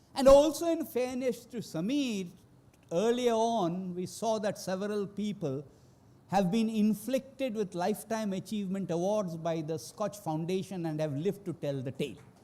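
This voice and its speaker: A man's high-pitched voice with a dark, mellow tone, lively intonation and a moderate pace. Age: 60s. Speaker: economist. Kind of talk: award acceptance speech.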